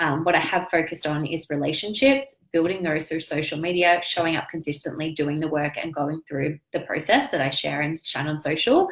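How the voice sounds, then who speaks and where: Very deep and low in pitch, a woman talks at a fairly quick pace. Her pitch variation is ordinary, and she hardly pauses. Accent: Australian. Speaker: business coach and online entrepreneur. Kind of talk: live stream business update. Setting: live video stream. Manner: animated.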